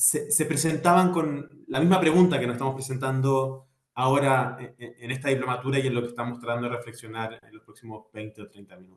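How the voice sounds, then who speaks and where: A man at a medium pitch talks at a fairly quick pace, with ordinary pitch variation and big swings in loudness. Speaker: architect and urban planner. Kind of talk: lecture. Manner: fast.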